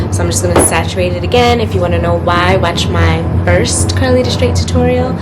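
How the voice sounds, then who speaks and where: A woman's very deep, low voice at a fairly quick pace, monotone and flat in intonation, with audible room echo and music in the background. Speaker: lifestyle vlogger. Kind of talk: casual vlog talk to camera. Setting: at home, bathroom.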